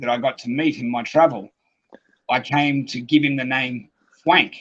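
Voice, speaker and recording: A man speaks with an Australian accent. His pitch sits fairly high. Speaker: UFO experiencer. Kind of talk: interview.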